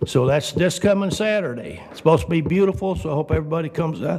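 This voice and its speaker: Audible room echo and noticeable background noise surround a man's fairly high-pitched voice. He speaks at a fairly quick pace with ordinary pitch variation. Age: 70s. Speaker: resident speaking at public comment. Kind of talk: public comment at council meeting. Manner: casual, folksy.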